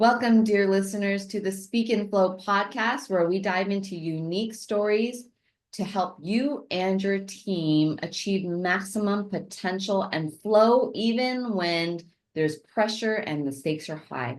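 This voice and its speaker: A woman with an unremarkable speaking voice talks at a medium pitch and a fairly slow pace, with ordinary pitch variation, over a quiet background. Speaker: podcast host. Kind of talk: podcast interview questions.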